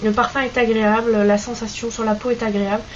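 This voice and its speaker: Someone speaks with a Basque accent and fairly even intonation. Audible room echo and noticeable background noise fill the recording. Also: woman. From French Basque Country. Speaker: beauty vlogger. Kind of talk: product review vlog. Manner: hesitant, many fillers.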